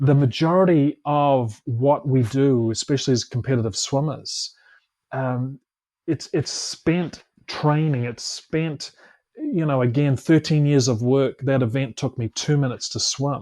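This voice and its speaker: A man speaks at a fairly high pitch with a dark, mellow tone. His intonation stays fairly even. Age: 50s. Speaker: Olympic swimmer and motivational speaker. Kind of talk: casual chat. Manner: halting, many repeated words.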